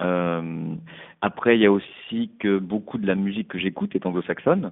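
This man's voice sits at a fairly low pitch. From Paris, France. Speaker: musician. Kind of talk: interview. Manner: halting.

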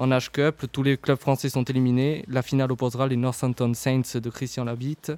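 At a moderate pace, a man delivers his words at medium pitch in a monotone, flat intonation. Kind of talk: radio sports show co-host patter, live studio banter and rundown of results. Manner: brisk, informal, stumbling and self-correcting with fillers like 'euh'.

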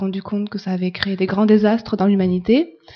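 Somewhat breathy, a woman speaks at medium pitch with fairly even intonation. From France. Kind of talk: interview.

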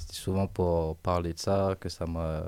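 With a Réunion accent, a man speaks in a dark, mellow tone at a very deep, low pitch, his intonation monotone and flat, in a very clean recording with a silent background. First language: Réunion Creole (speaking French). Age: 20s. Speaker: musician. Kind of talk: radio interview.

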